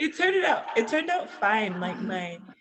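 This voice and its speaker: A woman's lively intonation in a Floridian accent. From Southwest Florida, US. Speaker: English teacher, expat. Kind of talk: interview.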